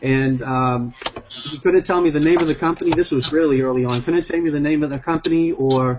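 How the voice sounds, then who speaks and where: A man's fairly high voice with a Boston accent, over noticeable background noise. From Massachusetts (Braintree, near Boston). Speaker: network marketing executive. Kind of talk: testimonial on group video call. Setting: video call.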